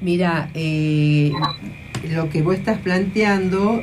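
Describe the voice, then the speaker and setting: A woman with a fairly low pitch and ordinary pitch variation speaks very slowly, with noticeable background noise and audible room echo. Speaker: radio host. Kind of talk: radio talk show and interview.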